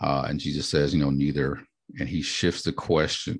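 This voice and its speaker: Vocal fry runs through this moderately paced speech. The background is quiet. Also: man. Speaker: pastor and author, podcast host. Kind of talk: book discussion, casual teaching. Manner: halting, many fillers.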